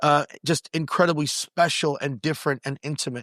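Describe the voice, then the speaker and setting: A man at a fairly high pitch with fairly even intonation and a moderate pace, in a dry, close sound with no echo and a very clean recording with a silent background. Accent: New York. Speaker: podcast host and pastor. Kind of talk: interview conversation. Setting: recorded on location at a retreat venue.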